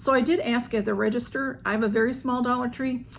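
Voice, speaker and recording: Fairly even intonation from a woman with a fairly high-pitched voice. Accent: Southern US. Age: 60s. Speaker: YouTuber. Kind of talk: haul video. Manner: casual, hesitant with fillers.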